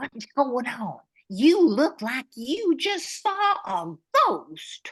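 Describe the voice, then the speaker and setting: Using a put-on character voice, a woman speaks very slowly at a high pitch with very wide pitch swings, the sound dry and close with no echo. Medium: audio drama.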